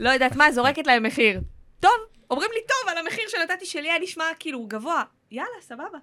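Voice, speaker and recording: A woman talks at a very fast pace in a raised, projected voice with an extremely high pitch, very wide pitch swings, and big swings in loudness. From central Israel (near Rehovot). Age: 30s. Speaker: actress and content creator. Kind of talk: casual chat.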